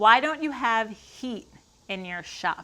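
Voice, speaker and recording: A woman with a Long Island accent at a moderate pace. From Long Island, New York. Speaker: woodworker. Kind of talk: casual Q&A talk to camera. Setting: garage workshop.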